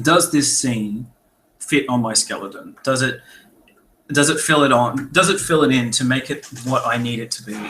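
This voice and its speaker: A man at a moderate pace and medium pitch, bright and sharp in tone, with ordinary pitch variation. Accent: Australian. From Australia. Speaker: author and editor. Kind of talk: webinar talk. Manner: casual, conversational.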